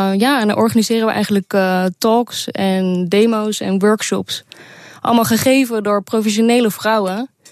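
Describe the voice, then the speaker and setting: A woman speaks at a moderate pace in an unremarkable speaking voice, fairly high in pitch. Her intonation stays fairly even and her loudness very even. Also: dry, close sound with no echo. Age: 20s. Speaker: programmer. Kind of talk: radio interview.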